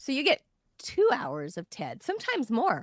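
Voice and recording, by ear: Using a put-on character voice, a woman speaks high and raspy at a moderate pace, with a dry, close sound and no echo.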